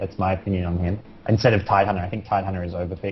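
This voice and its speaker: Somewhat breathy and fairly low-pitched, a man talks at a very fast pace with an Australian accent. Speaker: pro gamer co-caster. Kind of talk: live commentary. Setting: live stream.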